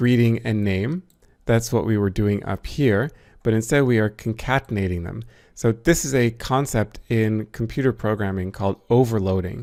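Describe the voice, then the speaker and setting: In a very clean recording with a silent background, a man with an ordinary speaking voice and medium pitch talks at a moderate pace with ordinary pitch variation. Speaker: programming and math instructor. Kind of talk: tutorial. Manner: casual, conversational.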